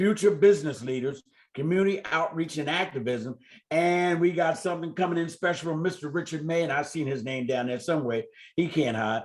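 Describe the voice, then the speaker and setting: In a plain, everyday voice, a man moves along at a fairly quick pace, his pitch shifting in an ordinary way. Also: fairly high pitch for a man. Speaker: community development organization leader. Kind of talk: community meeting update.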